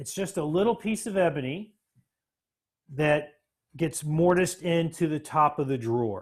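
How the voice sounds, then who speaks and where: A man with a Florida accent talks at a moderate pace, his fairly high voice lively in intonation. He leaves long, frequent pauses. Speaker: woodworking teacher. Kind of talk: live-streamed workshop tutorial. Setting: workshop. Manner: halting, many fillers.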